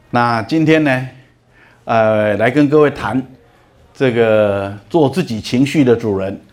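A man with a medium pitch talks very slowly, leaving long, frequent pauses and varying his pitch in an ordinary way. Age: 60s. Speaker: lecturer on emotional management. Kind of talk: lecture. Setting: lecture hall with audience.

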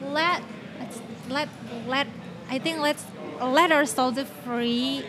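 A woman with an Indonesian accent uses a raised, projected voice at a high pitch with fairly even intonation. She speaks very slowly with long, frequent pauses, over noticeable background noise. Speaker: podcast host. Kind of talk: casual chat.

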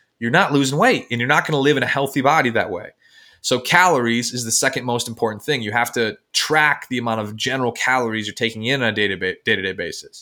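A very fast man's voice with an American accent, medium in pitch, bright and sharp in tone, with ordinary pitch variation, on a very clean recording with a silent background. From Michigan, US. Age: 20s. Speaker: weight-loss coach and author. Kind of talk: interview.

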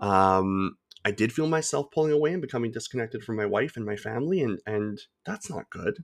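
Heard dry and close with no echo, a man with an unremarkable speaking voice talks at medium pitch and a fairly quick pace with lively intonation. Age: 30s. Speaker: podcast host. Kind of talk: casual chat.

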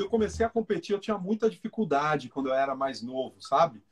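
This man's voice swings very widely in pitch, recorded with a dry, close sound and no echo. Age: 40s. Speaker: running coach and athlete. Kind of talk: casual interview on a live stream.

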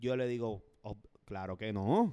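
A man speaks in a Puerto Rican accent with a dark, mellow tone. The sound is dry and close, with no echo. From Puerto Rico. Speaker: podcast co-host. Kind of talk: casual chat.

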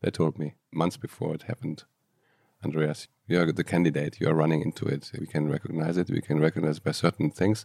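Recorded dry and close with no echo, a man with a German accent speaks fairly quickly in a very deep, low pitch, with a dark, mellow tone and fairly even intonation. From Germany, Aachen. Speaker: entrepreneur and coach. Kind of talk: interview.

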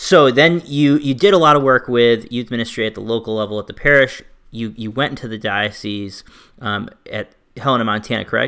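A man with a normal speaking voice at medium pitch, ordinary pitch variation, a fairly quick pace and big swings in loudness. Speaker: podcast host.

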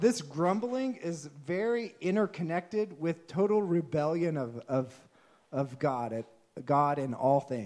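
A man with a Texan accent talks at a fairly high pitch and a fairly slow pace, his pitch swinging very widely. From Texas. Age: 30s. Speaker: pastor. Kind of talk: sermon.

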